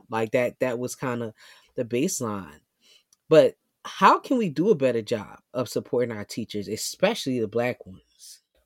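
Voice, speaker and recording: An animated, very deep and low female voice in a New York accent, with lively intonation and a dry, close sound with no echo on a very clean recording against a silent background. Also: moderate pace. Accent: New York City. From New York City, South Bronx. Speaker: podcast host, educator activist. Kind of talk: casual interview.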